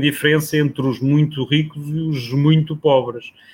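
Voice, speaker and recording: Against noticeable background noise, a man with a fairly high pitch talks fairly slowly in a flat monotone. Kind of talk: casual chat.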